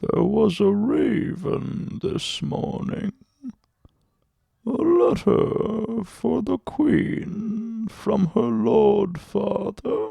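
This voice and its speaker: Putting on a character voice, a man talks very slowly at a high pitch. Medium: read story. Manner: soft, obsequious.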